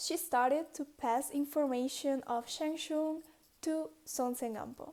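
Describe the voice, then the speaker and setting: A high-pitched woman's voice, dark and mellow in tone, at a fairly slow pace with fairly even intonation. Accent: non-native. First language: not English. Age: 20s. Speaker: dancer. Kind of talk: casual history storytelling to camera.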